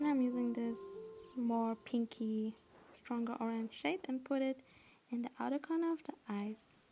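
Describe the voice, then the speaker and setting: A high-pitched woman at a moderate pace, with music in the background. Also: ordinary pitch variation. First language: not English. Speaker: makeup tutorial creator. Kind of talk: makeup tutorial talk to camera. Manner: casual.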